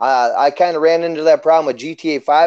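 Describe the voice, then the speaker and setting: Over a quiet background, a man with an American accent talks fairly quickly at a fairly high pitch with a dark, mellow tone. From Minnesota. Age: 30s. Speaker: YouTuber and live streamer. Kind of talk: live interview. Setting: live stream. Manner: animated.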